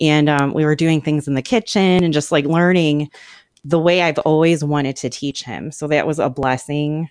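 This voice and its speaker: A woman speaks with a very deep, low pitch. Her intonation stays fairly even. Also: moderate pace. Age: 40s. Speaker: artist and writer. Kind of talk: casual chat.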